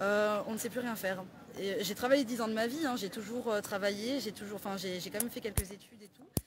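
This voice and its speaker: A woman at a very fast pace, fairly high in pitch, with ordinary pitch variation and big swings in loudness. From southern France, Perpignan. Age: 20s. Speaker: suspended home care worker. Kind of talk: street interview. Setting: outdoors. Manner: halting.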